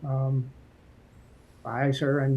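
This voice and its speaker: A man's fairly high, somewhat breathy voice with a dark, mellow tone and an American accent, over a quiet background. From Massachusetts, US. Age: 60s. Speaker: political candidate. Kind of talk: interview. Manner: hesitant with frequent fillers.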